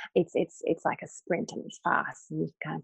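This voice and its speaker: The recording has a dry, close sound with no echo. A woman talks in an Australian accent. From North Queensland, Australia. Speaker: acupuncturist and life coach. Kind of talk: casual interview chat.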